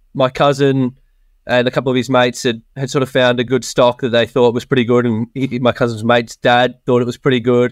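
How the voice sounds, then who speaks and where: Speaking at medium pitch, a man talks with an Australian accent. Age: 20s. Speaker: software developer, property investor. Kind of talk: casual interview chat.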